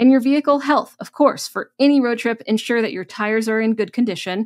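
A woman with ordinary pitch variation talks at a fairly quick pace, and the background stays quiet. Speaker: podcast host. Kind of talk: tips talk to camera. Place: home room. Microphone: studio mic.

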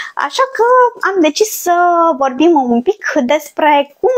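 Her pace fairly slow, a woman is talking. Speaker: cooking channel host. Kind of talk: casual live-stream presentation. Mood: cheerful, laughing at times. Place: kitchen.

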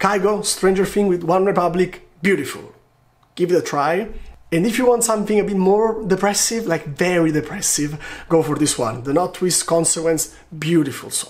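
With an Italian accent, a man speaks at a high pitch. His pitch variation is ordinary. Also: moderate pace. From Italy. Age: 20s. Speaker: video blogger. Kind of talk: vlog monologue to camera. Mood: playful, animated storytelling.

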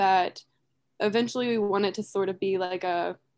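A woman talks in a flat, monotone way against a quiet background. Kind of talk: casual webinar presentation. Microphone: video call.

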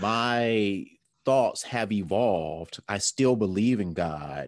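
Over a quiet background, a man talks with ordinary pitch variation, and the sound is dry with no echo. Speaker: podcast co-host. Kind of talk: casual podcast discussion. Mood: reflective, relaxed. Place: home room. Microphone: webcam.

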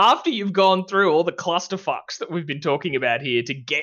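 An Australian accent over a quiet background. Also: man. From Australia (Victoria). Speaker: comedy podcast co-host. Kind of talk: casual chat. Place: home room. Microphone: headset.

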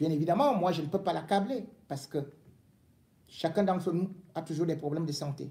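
A man's fairly quick delivery broken by long, frequent pauses. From Cameroon. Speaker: political commentator. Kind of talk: angry rant, accusatory political tirade. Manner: indignant, scolding, hammering commands at the target; emphatic, repeating words for stress. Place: home room. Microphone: phone near.

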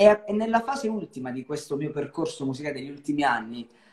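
Against a quiet background with audible room echo, a man talks at a fairly quick pace. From Calabria, Italy (Cosenza). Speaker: singer. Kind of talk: live-stream interview. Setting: video call live stream. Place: home room. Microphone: video call.

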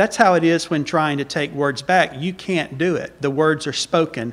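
A man with a Southern US accent speaks at a fairly slow pace and a fairly high pitch, with ordinary pitch variation. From US South. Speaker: visiting preacher. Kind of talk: sermon. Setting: church. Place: church. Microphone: podium.

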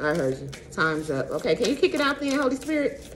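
A woman speaks fairly quickly while noticeable noise runs in the background. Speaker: tarot reader. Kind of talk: tarot reading vlog. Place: home room. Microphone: phone near.

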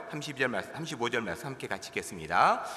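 A man speaks with very wide pitch swings, and audible echo fills the room. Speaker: pastor. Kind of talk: sermon. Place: church. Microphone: podium.

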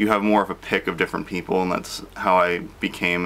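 A man with a very deep, low pitch, fairly even intonation and a moderate pace. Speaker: vlogger. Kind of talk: casual vlog chat. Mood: reflective, calm with small laughs. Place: home room. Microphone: phone near.

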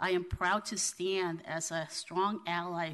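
A woman's fairly low, flat, monotone voice at a fairly slow pace, against a quiet background. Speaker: city council president; city council member. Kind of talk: formal meeting proceedings. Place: hall. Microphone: podium.

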